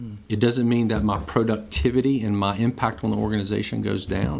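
This is an unremarkable speaking voice. Its pitch varies in an ordinary way. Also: man. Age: 50s. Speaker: pastor. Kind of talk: casual interview.

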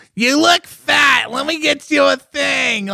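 In a put-on character voice, someone shouts at a high pitch and a fairly slow pace. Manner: overbearing, critical.

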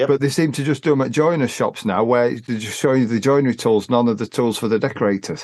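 Over a quiet background, a man with an English accent speaks at a very fast pace with hardly any pauses, his medium pitch showing ordinary variation. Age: 50s. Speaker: podcast host, decorator. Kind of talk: casual chat. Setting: remote call.

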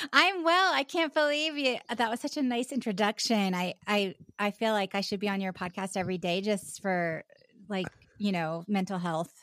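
An American accent marks this woman's medium-pitched voice, delivered at a moderate pace with lively intonation. The sound is dry and close with no echo, on a very clean recording with a silent background. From US South, Charleston, South Carolina. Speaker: actor and podcaster. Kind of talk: casual chat. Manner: halting, frequent laughter.

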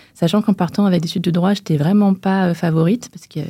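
Somewhat breathy speech at a very fast pace carries a fairly even intonation. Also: woman. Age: 30s. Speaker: press officer and clothing brand founder. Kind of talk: interview. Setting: recording studio.

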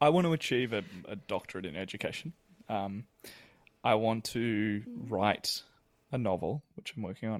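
A man speaks at a medium pitch. His voice sounds dry and close with no echo, and the recording is very clean with a silent background. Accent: Australian. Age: 30s. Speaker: musical theatre performer. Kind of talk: interview.

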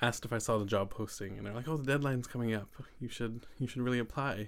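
A man's voice with fairly even intonation. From Saanich, Vancouver Island, British Columbia, Canada. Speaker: education student and campus radio podcaster. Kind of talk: casual interview.

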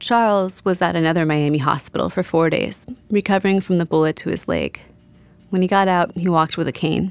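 A woman uses a normal speaking voice, fairly low in pitch, at a fairly quick pace. Her intonation is fairly even, her loudness very even, and the recording very clean with a silent background. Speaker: podcast host and journalist. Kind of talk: scripted narration.

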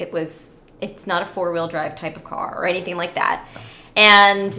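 The voice carries an American accent, with audible room echo. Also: woman. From Orlando, Florida (Sri Lankan parents). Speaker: podcast guest. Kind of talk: casual chat.

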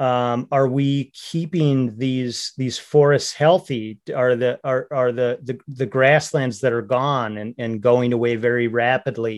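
A man with an American accent, medium in pitch, set against a quiet background. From north central Minnesota. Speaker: hunting and fishing advocate. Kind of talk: podcast interview. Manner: halting, many repeated words and fillers.

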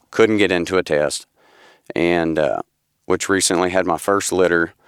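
In a Southern US accent, a man speaks at a moderate pace with a very deep, low pitch and fairly even intonation. The sound is dry and close, with no echo. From Tennessee. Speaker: amateur gun dog handler. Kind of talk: interview. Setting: studio.

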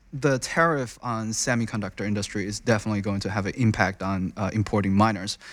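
In a very clean recording with a silent background, a man speaks with a Chinese accent. His fairly low voice moves at a fairly quick pace. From China. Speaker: crypto mining investment researcher. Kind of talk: interview. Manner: halting.

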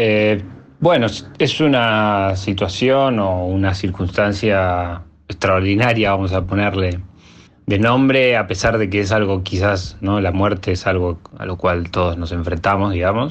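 A man's fairly low voice moves at a fairly slow pace, its pitch varying in an ordinary way. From Argentina, Bariloche. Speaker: electronic music producer and DJ. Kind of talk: interview. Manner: halting.

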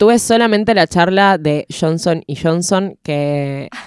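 The speaker has a Rioplatense accent and ordinary pitch variation. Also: woman. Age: 20s. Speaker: radio and audiovisual producer. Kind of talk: casual chat.

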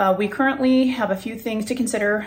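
A woman with an American accent talks at a very fast pace. Noticeable background noise runs behind her. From California. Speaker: listener asking a question. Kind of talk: recorded voice question.

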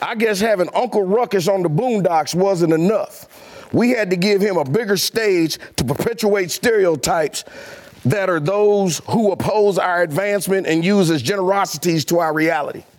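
Over noticeable background noise, a high-pitched man speaks at a moderate pace in an animated tone, with ordinary pitch variation and very even loudness. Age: 60s. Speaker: show regular, comic commentator. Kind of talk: angry rant. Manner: animated, loud, indignant and comical, with a preacher-like cadence.

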